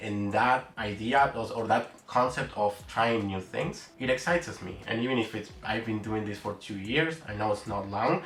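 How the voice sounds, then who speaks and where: Fairly low male voice at a moderate speed, ordinary in its pitch variation, with clear background noise. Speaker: developer advocate and YouTuber. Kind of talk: explainer video.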